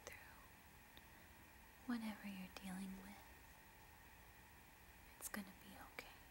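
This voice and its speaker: A soft-spoken woman is whispering against noticeable background noise. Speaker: relaxation video host. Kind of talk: soft soothing personal attention talk. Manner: soft soothing whisper, close to the mic. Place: home room. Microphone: phone near.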